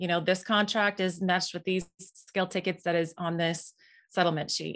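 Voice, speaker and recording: This woman has an Upper Midwest accent and a medium pitch. Her intonation is monotone and flat over a quiet background. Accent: Upper Midwest American. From Minnesota (Moorhead). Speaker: farm software co-founder. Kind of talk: interview.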